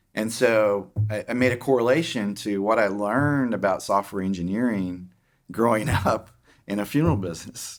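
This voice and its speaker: An Oklahoma accent on a very clean recording with a silent background. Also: man, fairly low pitch for a man, ordinary pitch variation, moderate pace. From Oklahoma, small town. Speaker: tech executive. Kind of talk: interview. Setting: podcast. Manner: halting, many fillers.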